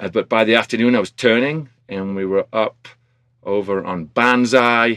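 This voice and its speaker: A man with an American accent, medium pitch and ordinary pitch variation at a moderate pace, with a dry, close sound and no echo. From industrial northern England. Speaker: snowboard instructor and ski school manager. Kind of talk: casual interview.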